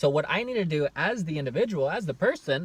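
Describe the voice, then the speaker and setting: A man's passionate tone with lively intonation. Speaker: self-help vlogger. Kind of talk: casual self-help vlog talk. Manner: fast; loud, passionate.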